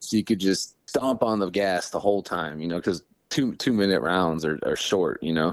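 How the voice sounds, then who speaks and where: A man with a very deep, low voice and a Midwestern US accent speaks at a moderate pace with ordinary pitch variation, in a very clean recording with a silent background. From Ohio, small town between Cleveland and Youngstown. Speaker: professional mixed martial artist. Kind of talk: casual interview chat. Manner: animated.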